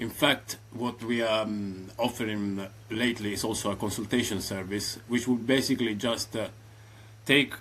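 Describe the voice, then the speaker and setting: Speaking at a moderate pace with an Italian accent, a man keeps a medium pitch and fairly even intonation. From southern Italy, Reggio Calabria. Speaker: AI automation consultant. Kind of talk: casual interview. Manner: hesitant, many fillers.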